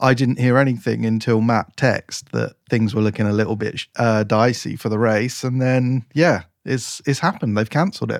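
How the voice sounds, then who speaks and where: Recorded very cleanly against a silent background, a man with an English accent speaks at a moderate pace in a dry, close sound with no echo. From England. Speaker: racing driver and podcast co-host. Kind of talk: casual chat.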